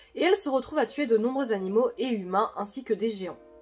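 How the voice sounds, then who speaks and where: Music plays behind a woman speaking at a fairly quick pace. Her fairly high voice moves with lively intonation. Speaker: YouTuber explaining manga theories. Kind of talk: video commentary on manga theories.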